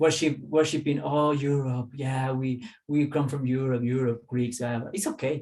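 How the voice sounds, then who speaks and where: The speech comes at a fairly slow pace with fairly even intonation, in a Spanish accent. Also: man. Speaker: holistic teacher. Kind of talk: casual interview chat.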